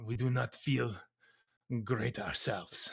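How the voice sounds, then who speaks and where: A put-on character voice from a man, medium-pitched and fairly slow. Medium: actual play. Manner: stiff, formal, no contractions.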